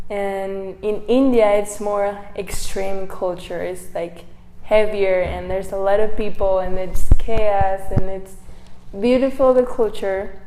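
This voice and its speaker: Very slow speech with a Mexican accent and fairly even intonation, with audible room echo and noticeable background noise. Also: woman, medium pitch for a woman. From Mexico, Baja California. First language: Spanish. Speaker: missionary. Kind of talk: testimony. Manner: halting.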